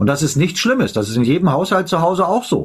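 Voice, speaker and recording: Somewhat breathy speech with very wide pitch swings. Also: man. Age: 50s. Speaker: live stream host. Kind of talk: casual chat. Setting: live stream.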